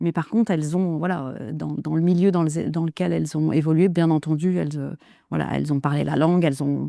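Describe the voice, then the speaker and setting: At a fairly quick pace, a woman with a very deep, low pitch and a dark, mellow tone speaks with fairly even intonation in a very clean recording with a silent background. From Kurdistan, Turkey. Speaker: interview guest. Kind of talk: interview. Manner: calm, measured; hesitant, many fillers.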